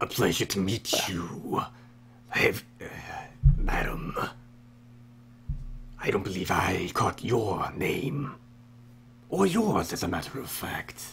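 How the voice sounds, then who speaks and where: A man speaks in a raspy, put-on character voice at medium pitch, at a fairly slow pace with long, frequent pauses. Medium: actual play. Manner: formal, polite.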